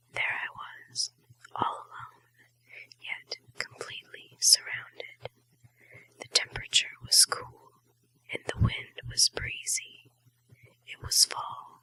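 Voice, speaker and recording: A woman whispers at a very slow pace, with long, frequent pauses. Her loudness swings widely, and the sound is dry and close with no echo. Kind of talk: ASMR whispered short story reading. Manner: whispered, soft.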